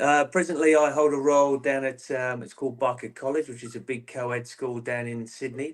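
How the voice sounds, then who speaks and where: The speaker keeps a fairly quick pace with ordinary pitch variation. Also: man. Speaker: football coach, former player. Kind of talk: interview.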